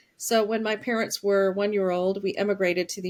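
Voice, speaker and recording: A woman with an American accent speaks at a fairly quick pace in a medium pitch with ordinary pitch variation. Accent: slight Southern US, comes out occasionally. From US Deep South, Alabama. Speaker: author and public health professional. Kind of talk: interview conversation.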